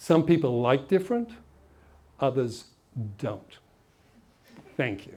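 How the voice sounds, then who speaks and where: A man talks at a fairly slow pace with long, frequent pauses. His fairly high voice moves in very wide pitch swings. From England, Essex. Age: old. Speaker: motivational speaker. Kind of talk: motivational talk with anecdotes.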